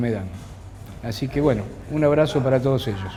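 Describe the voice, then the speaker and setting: At a moderate pace, a man speaks at a medium pitch amid noticeable background noise and audible room echo. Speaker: sculptor. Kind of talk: interview.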